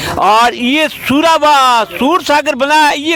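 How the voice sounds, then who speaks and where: A man with a Marwari accent, his pitch extremely high, over noticeable background noise. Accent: Marwari-accented Hindi. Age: 60s. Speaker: villager. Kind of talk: interview statement at a protest. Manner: halting.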